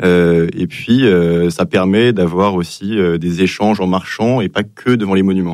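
A man speaks at a moderate pace. His low voice has a slightly mellow tone. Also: ordinary pitch variation.

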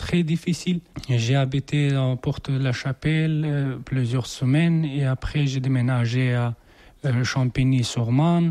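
A man's fairly high voice with an Afghan accent, dark and mellow, at a fairly slow pace with fairly even intonation

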